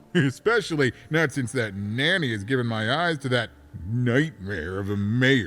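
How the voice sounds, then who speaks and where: Against a silent background in a very clean recording, a man of medium pitch performs a put-on character voice. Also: moderate pace. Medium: video game. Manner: rambling, chatty.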